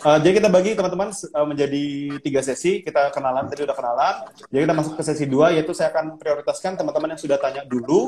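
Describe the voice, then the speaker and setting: Very fast pace with ordinary pitch variation. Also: man, fairly high pitch for a man. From Indonesia, Banjarmasin and Surabaya. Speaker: Instagram live host. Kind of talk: casual live-stream interview.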